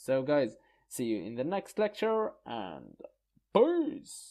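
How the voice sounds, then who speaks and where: In a quiet background, a man with a non-native accent speaks at a very slow pace. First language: not English. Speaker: online course instructor. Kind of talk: tutorial. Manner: hesitant, many fillers.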